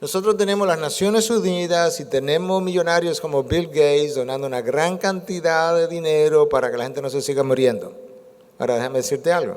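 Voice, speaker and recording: A man talks at a fairly quick pace in a high voice with ordinary pitch variation, and room echo is audible. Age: 60s. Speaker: preacher. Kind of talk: sermon.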